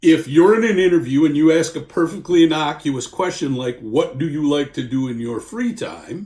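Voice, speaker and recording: The voice has a dark, mellow tone and lively intonation. There are hardly any pauses. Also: man, fairly high pitch for a man, moderate pace. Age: 60s. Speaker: employment lawyer. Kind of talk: informal legal explainer. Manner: conversational.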